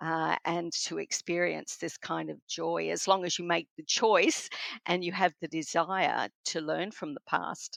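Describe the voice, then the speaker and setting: At a fairly slow pace, a woman with an Australian accent speaks in a dry, close sound with no echo, her loudness swinging widely. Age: 60s. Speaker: spiritual counselor and author. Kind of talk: interview.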